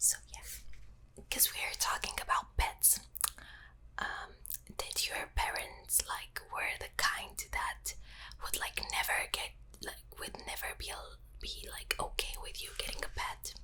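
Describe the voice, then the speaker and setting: Whispering comes at a fairly slow pace with long, frequent pauses. Noticeable background noise sits behind it. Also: woman. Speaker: ASMR creator. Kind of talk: ASMR get-to-know-you whisper. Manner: whispered, soft-spoken, slow.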